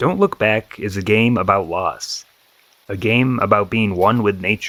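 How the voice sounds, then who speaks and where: A man's fairly low voice is heard while music plays behind him. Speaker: gaming YouTuber. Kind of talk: video game review voiceover.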